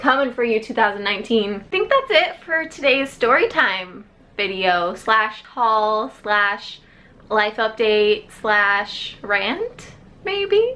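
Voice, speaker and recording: At a fairly slow pace, a woman speaks with a fairly high pitch and a plain, everyday voice. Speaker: book YouTuber. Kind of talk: casual vlog storytime.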